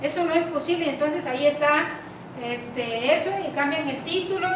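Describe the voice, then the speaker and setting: A woman's high voice at a fairly slow pace, with ordinary pitch variation, audible room echo and noticeable background noise. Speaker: lecturer. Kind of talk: lecture. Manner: frequent filler words and hesitations.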